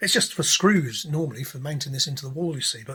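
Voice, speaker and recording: The speaker goes at a very fast pace with an English accent. The tone is bright and sharp, with ordinary pitch variation. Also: man. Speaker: DIY guitar pedal maker. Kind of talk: tutorial. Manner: casual rambling with many fillers.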